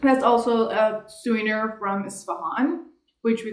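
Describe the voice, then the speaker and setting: With a Persian accent, a woman speaks at a fairly slow pace and medium pitch, her pitch varying in an ordinary way amid audible room echo. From Iran. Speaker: vlogger. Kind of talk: casual chat. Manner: halting.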